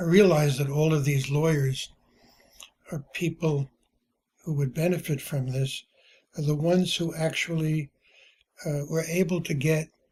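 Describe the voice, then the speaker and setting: This man speaks with a fairly high pitch in a monotone, flat way, leaving long, frequent pauses. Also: moderate pace. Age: 80s+. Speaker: retired journalist and publisher. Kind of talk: personal testimony. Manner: halting, with many fillers.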